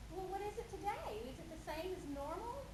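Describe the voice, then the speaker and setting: A squeaky, extremely high-pitched put-on character voice at a fairly quick pace. Loud background noise and a slight echo sit behind it. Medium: stage play.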